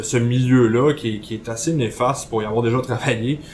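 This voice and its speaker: A man speaks with a Quebec accent at a moderate pace. His intonation stays fairly even. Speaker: podcast columnist. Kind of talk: casual chat.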